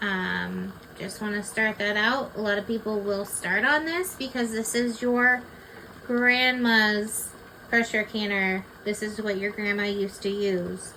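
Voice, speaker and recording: Over noticeable background noise, a woman speaks fairly slowly in a fairly high pitch with fairly even intonation. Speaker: home canning instructor. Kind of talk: tutorial. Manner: loud.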